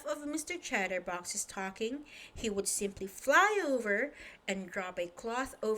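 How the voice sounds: The natural reading voice has lively intonation.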